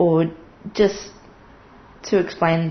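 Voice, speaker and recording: Somewhat breathy, a woman with an Australian accent speaks at a fairly low pitch with fairly even intonation. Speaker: interviewee. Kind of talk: interview.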